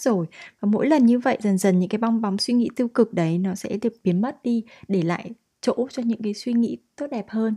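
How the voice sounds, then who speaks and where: Against a quiet background, a woman with a fairly high pitch and a dark, mellow tone speaks at a moderate pace, somewhat breathy, with ordinary pitch variation and a dry, close sound with no echo. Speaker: podcast host. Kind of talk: solo podcast monologue.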